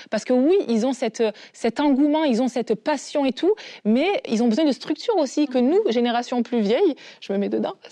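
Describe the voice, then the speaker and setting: A woman's high, dark and mellow voice with lively intonation, a fairly quick pace and a dry, close sound with no echo. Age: 30s. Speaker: panelist. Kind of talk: casual talk-show discussion.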